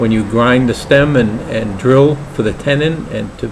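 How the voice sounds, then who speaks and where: A man's medium-pitched voice with a Brooklyn accent, over noticeable background noise. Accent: Brooklyn New York. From New York, Brooklyn. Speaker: pipe maker and hobby vlogger. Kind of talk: casual vlog introduction. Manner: hesitant, many fillers.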